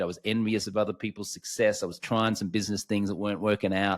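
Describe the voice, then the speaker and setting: A man with an Australian accent talks very fast in a fairly low voice, recorded very cleanly against total silence. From Australia, Brisbane, Queensland. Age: 40s. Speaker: alcohol-free coach, former sports TV host. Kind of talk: podcast interview, personal story.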